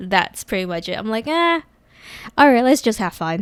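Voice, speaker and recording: This woman is soft-spoken, with a medium pitch. Her intonation is lively. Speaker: casual Twitch streamer, podcast guest. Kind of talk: casual chat.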